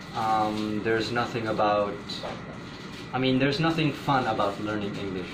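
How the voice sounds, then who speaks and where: A man talks at a moderate pace and medium pitch with fairly even intonation. Audible room echo and noticeable background noise surround him. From Pakistan. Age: 20s. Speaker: interviewee. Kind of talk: interview. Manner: halting.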